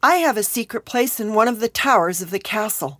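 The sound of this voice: Someone reads aloud in an unforced reading voice.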